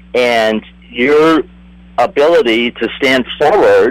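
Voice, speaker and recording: A man speaks in a dry, close recording with no echo and noticeable background noise. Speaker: astrologer. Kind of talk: astrological reading in panel chat.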